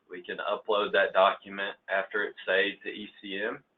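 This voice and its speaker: A man talks at a moderate pace. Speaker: engineer leading a training session. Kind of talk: workplace training presentation.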